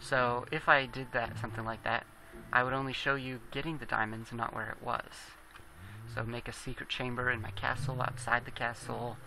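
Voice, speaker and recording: A man mumbles at a moderate pace in a monotone, flat intonation. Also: medium pitch for a man. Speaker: gaming video creator. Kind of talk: gameplay commentary. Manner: mumbling; halting.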